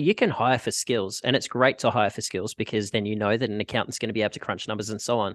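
Over a quiet background, a man with an Australian accent talks at a very fast pace. His medium-pitched voice has a dry, close sound with no echo. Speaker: podcast host and packaging sales rep. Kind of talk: casual interview chat.

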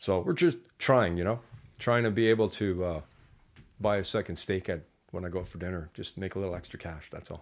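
Despite long, frequent pauses, a man with a very deep, low pitch keeps a fairly quick pace, his pitch variation ordinary and his loudness swinging widely, on a very clean recording with a silent background. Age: 50s. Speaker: entrepreneur and mechanic. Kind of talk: casual chat. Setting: studio.

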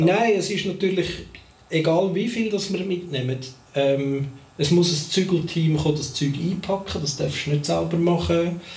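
There is audible room echo and noticeable background noise as a man with a Swiss accent talks at a moderate pace in a high pitch, with ordinary pitch variation. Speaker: podcast co-host. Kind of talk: casual chat. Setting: studio recording with cameras.

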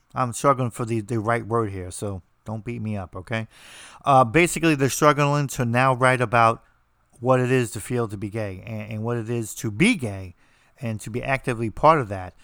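A man at medium pitch and a moderate pace, with ordinary pitch variation. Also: big swings in loudness. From New Jersey, US. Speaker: podcast host and author. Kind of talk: casual monologue. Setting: remote recording over internet. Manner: halting, many repetitions.

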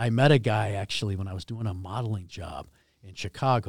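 Somewhat breathy, a man speaks with an American accent on a very clean recording with a silent background. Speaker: hockey jersey manufacturer, company founder. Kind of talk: casual interview chat. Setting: studio.

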